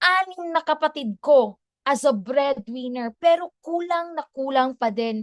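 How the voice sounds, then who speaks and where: The speaker uses an animated tone with very wide pitch swings at a fairly slow pace. The sound is dry and close, with no echo. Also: woman. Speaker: former teacher turned entrepreneur speaker. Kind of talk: testimony.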